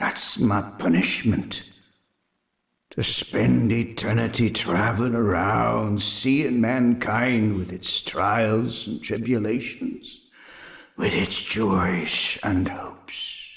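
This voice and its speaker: A man puts on a character voice, pitched fairly low and delivered at a very slow pace. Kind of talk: radio drama. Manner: solemn, warning.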